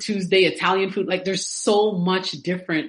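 Over noticeable background noise, a woman speaks very fast at a medium pitch with ordinary pitch variation. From Toronto, Canada. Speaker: content writer, entrepreneur. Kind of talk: casual interview.

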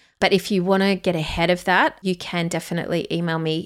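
A woman with an Australian accent speaks at a fairly low pitch and a moderate pace in a monotone, flat intonation, in a very clean recording with a silent background. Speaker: podcast host and photographer. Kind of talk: solo podcast monologue, reflection.

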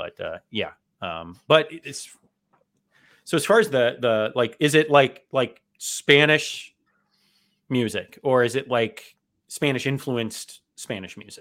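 A man with an American accent, vocal fry, lively intonation, big swings in loudness, a fairly slow pace and long, frequent pauses. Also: medium pitch for a man. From South Florida. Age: 30s. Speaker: podcast host and author. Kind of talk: casual interview chat. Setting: video call.

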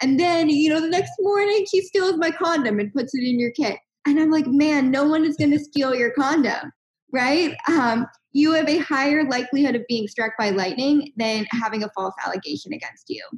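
Her intonation lively and her pitch high, a woman talks at a moderate pace. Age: 20s. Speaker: health tech startup co-founder. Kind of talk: interview.

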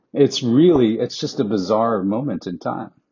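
With an American accent, a man of medium pitch speaks in a dark, mellow tone with ordinary pitch variation. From New York (Queens). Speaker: advertising strategist. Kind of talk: podcast interview. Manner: halting, many fillers.

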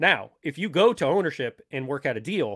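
With an American accent and vocal fry, a man talks with very wide pitch swings in a dry, close sound with no echo. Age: 30s. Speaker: podcast co-host, author. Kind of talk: casual chat.

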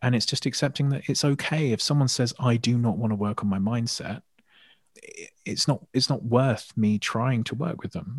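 A calm, somewhat breathy voice at a fairly quick pace with ordinary pitch variation, over a quiet background. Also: man. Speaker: hypnotherapist and mindset coach. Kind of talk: interview.

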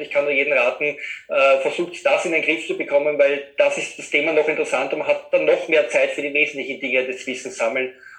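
This man talks very fast, with noticeable background noise behind him. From Austria, Vienna area. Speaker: web designer. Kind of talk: interview conversation.

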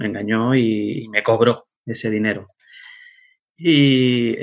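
A man speaks in an ordinary speaking voice, medium in pitch, with fairly even intonation. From Spain, Canary Islands (Tenerife). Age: 40s. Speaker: web developer. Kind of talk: casual interview.

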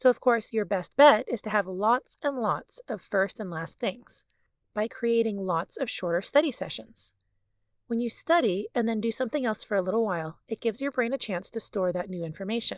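At a moderate pace, a plain, everyday voice comes through a very clean recording with a silent background and a dry, close sound with no echo. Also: woman, fairly high pitch for a woman, lively intonation. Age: 40s. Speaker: family physician and podcast host. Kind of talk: scripted educational monologue.

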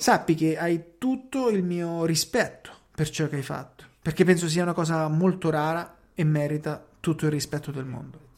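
Speaking at a fairly quick pace with hardly any pauses, a man with an Italian accent has a fairly high pitch. His pitch variation is ordinary. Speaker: podcast host. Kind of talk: interview; scripted narration.

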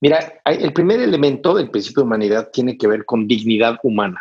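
Here is a man with an ordinary speaking voice at medium pitch. He uses ordinary pitch variation. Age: 50s. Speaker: humanitarian aid trainer. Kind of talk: interview.

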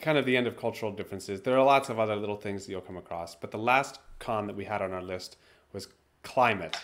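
Talking at a very fast pace, a man with a fairly low pitch shows ordinary pitch variation and big swings in loudness. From US, Maine. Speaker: podcast co-host, former English teacher. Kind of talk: casual chat.

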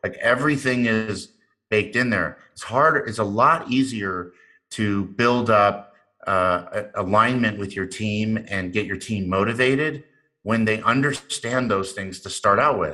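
With a bright, sharp tone and an American accent, a man talks at a fairly slow pace with ordinary pitch variation on a very clean recording with a silent background. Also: fairly low pitch for a man. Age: 50s. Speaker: serial entrepreneur. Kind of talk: interview.

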